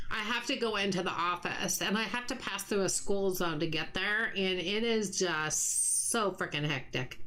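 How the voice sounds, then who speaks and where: A woman of medium pitch talks at a moderate pace with hardly any pauses, ordinary pitch variation and very even loudness, amid audible room echo and noticeable background noise. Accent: American. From US West, Utah. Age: 60s. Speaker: gaming streamer. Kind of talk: casual live-stream chat while gaming. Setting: live stream.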